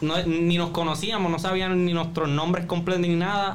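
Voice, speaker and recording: There is audible room echo and noticeable background noise. Over it, a man speaks at a high pitch and a moderate pace. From Puerto Rico, Jayuya. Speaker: podcast co-host. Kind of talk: casual chat.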